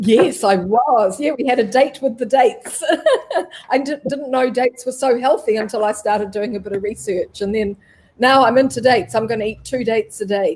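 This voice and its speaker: A woman with a New Zealand accent, fairly high in pitch, at a fairly quick pace with ordinary pitch variation. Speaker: travel live streamer. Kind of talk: interview. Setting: live stream.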